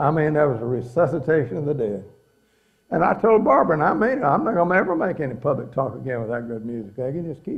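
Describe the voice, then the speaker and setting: At a fairly quick pace, a man with a fairly high pitch speaks in a somewhat breathy voice with lively intonation. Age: 80s+. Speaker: religious speaker on pioneering. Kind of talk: inspirational talk to an audience. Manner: folksy, conversational.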